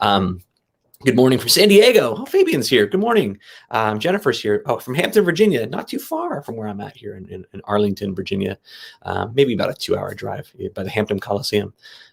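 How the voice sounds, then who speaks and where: With an American accent, a man talks at a fairly quick pace, his loudness swinging widely. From New Jersey. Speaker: teacher and keynote speaker. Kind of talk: keynote talk. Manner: fast; animated.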